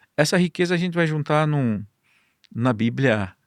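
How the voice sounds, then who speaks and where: A man with a Paraíba accent speaks in a fairly high pitch for a man. His intonation is lively. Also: dry, close sound with no echo, very clean recording, silent background. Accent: Paraíba northeastern Brazilian. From Northeast Brazil, Campina Grande, Paraíba. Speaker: Bible society distribution director. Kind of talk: podcast interview.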